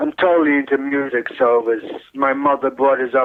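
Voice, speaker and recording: This is a man with a New York accent. His voice sits at a medium pitch. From New York, Brooklyn (Williamsburg). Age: 60s. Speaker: retired butcher, brother of a rock drummer. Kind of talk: interview. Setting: phone call.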